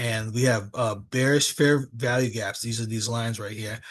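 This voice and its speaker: Against a quiet background, a man speaks fairly slowly in a medium pitch, his voice somewhat breathy. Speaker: trading educator. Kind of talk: live trading tutorial. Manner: halting, many fillers.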